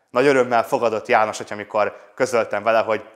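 This man has a normal speaking voice, with a medium pitch and fairly even intonation. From Budaörs, Hungary. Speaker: priest. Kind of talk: testimony.

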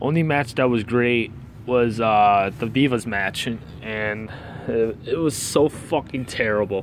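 Over light background noise, a man speaks in an angry tone at a fairly slow pace with ordinary pitch variation, the sound dry with no echo. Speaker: wrestling fan video reviewer. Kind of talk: angry rant review. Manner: angry, profane, venting; rambling, disfluent, stumbling. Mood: annoyed, ranting. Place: street. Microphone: phone near.

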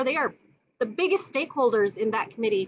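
Loud and at a very fast pace, a woman talks over light background noise. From Minnesota. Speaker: neighborhood council candidate. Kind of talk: casual chat. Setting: outdoors, backyard live stream. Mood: passionate, earnest. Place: garden. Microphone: phone near.

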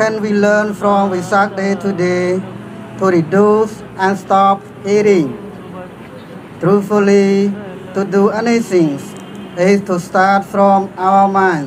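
A very slow, flat monotone voice, broken by long and frequent pauses, comes through over noticeable background noise. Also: man, high pitch for a man. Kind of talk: sermon. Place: street. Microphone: podium.

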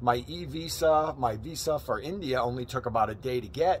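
Somewhat breathy, a man speaks at a moderate pace with ordinary pitch variation, light background noise behind him. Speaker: travel vlogger. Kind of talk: casual vlog chat. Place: street. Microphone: phone near.

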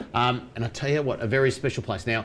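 At a fast pace, a man speaks at medium pitch with a fairly bright tone and fairly even intonation.

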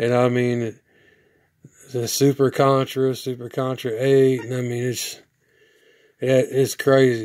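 A man's medium-pitched, slightly mellow voice at a fairly slow pace, with little pitch movement

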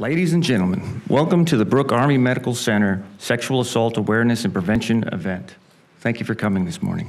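Very fast speech from a man with lively intonation. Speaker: master of ceremonies. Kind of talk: formal event announcing. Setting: stage with audience. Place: hall. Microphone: podium.

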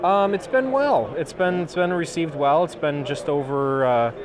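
Over clear background noise, a man talks at a fairly high pitch and moderate pace, with ordinary pitch variation.

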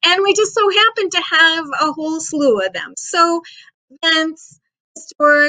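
With a quiet background, a woman uses a raised, projected voice with a bright, sharp tone and lively intonation. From Western New York (Geneseo, Livingston County); Western New York. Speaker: county historian; guest. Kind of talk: interview. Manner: hesitant, many fillers. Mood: friendly, informative. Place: office. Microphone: video call.

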